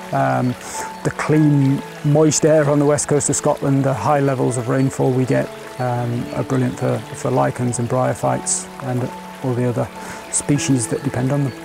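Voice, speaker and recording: A man at a moderate pace with fairly even intonation, in a dry sound with no echo and clear music in the background. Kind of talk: interview answer. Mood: calm and explanatory. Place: open country.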